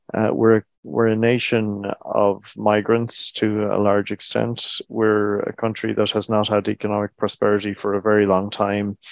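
With an Irish accent, a man talks at a moderate pace in a fairly low, monotone, flat voice, barely pausing, the sound dry and close with no echo. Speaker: government agency chief executive. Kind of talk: interview.

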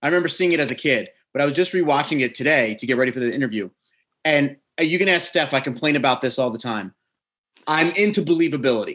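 Speaking at a very fast pace, a man with an American accent has a fairly high pitch, a bright, sharp tone and ordinary pitch variation. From New Jersey, US Northeast. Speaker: podcast host. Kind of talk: casual chat and interview. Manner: usually loud and hyped, mellow today.

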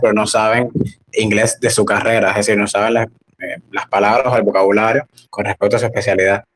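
Using a plain, everyday voice, a man speaks at a fairly quick pace with medium pitch and fairly even intonation. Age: 20s. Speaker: language academy founder. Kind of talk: casual interview.

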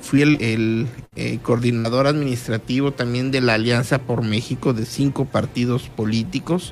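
Against music in the background, a man talks at a fairly slow pace with a medium pitch and monotone, flat intonation. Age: 40s. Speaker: politician. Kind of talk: radio interview. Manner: halting, with frequent fillers and repetitions.

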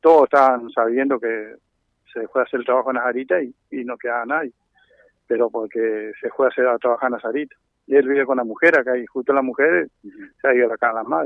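A man talking at a very fast pace, fairly even intonation, big swings in loudness. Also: medium pitch for a man. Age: 60s. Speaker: brickworks owner and racehorse owner. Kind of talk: on-site news interview.

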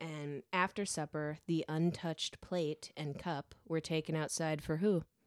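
A woman's very deep, low pitch in a monotone, flat intonation, at a fairly slow pace with hardly any pauses, on a very clean recording with a silent background. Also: dry, close sound with no echo. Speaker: podcast co-host. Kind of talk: casual chat. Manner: laughs often.

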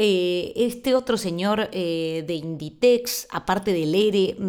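A woman's fairly low voice with lively intonation, on a very clean recording with a silent background. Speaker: podcast host. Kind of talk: monologue on quarantine diary podcast.

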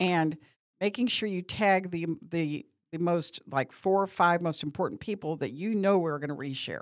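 This woman has an unremarkable speaking voice, fairly low in pitch, moving at a moderate pace with ordinary pitch variation. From Missouri. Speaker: media company owner and talk show host. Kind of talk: casual chat.

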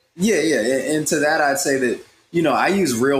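A man with an American accent and an ordinary speaking voice, lively in intonation, at a moderate pace. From rural US Midwest and South. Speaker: podcast co-host. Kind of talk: casual chat.

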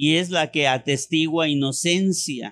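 This man has a high-pitched voice. He speaks at a very slow pace. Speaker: pastor. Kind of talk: sermon.

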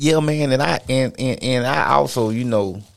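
The speech moves at a fairly slow pace. Pitch varies in an ordinary way. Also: man. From US South, Georgia (Cochran). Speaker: army veteran and personal trainer. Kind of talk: casual chat.

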